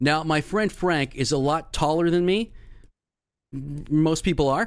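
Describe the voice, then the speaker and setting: In an unremarkable speaking voice, a man talks at a fairly high pitch with lively intonation, on a very clean recording with a silent background. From Philadelphia area, Bucks County. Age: 50s. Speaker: podcast host. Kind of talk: casual chat.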